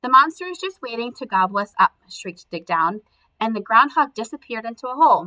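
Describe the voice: A plain reading aloud, lively in intonation, against a quiet background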